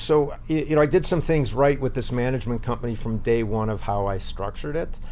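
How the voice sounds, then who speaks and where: A man speaks in a medium pitch with ordinary pitch variation. His fairly quick delivery carries audible room echo. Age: 60s. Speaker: real estate investor and property manager. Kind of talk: interview. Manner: halting.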